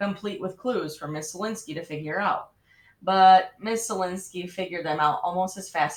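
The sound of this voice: Unforced reading with normal shifts in pitch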